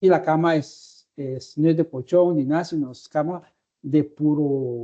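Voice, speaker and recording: With a Guatemalan accent, a man speaks at a very slow pace in a fairly high pitch. His tone is dark and mellow, the intonation fairly even. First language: Tz'utujil (speaking Spanish). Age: 60s. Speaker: interviewee. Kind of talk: interview. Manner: halting.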